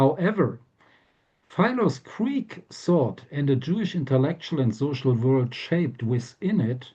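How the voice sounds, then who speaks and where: Somewhat breathy, a man talks at a moderate pace and a fairly high pitch. His tone is dark and mellow. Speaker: professor. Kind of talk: lecture. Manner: hesitant with fillers; reading from manuscript.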